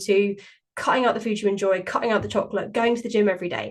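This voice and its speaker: A woman speaks in a British accent. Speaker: podcast host and weight-loss coach. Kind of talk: solo podcast monologue. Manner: fast; chatty.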